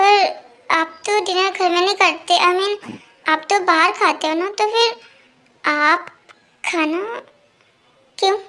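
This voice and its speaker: In a put-on character voice, the speaker goes at a fairly slow pace with fairly even intonation. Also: woman, extremely high pitch for a woman. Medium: read story. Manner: stammering, timid.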